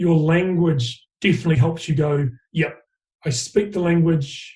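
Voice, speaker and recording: This man has a New Zealand accent and a dark, mellow tone, speaking at a fairly slow pace with a high pitch and ordinary pitch variation. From New Zealand, raised from age five, born in Fiji. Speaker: rugby coach. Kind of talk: interview.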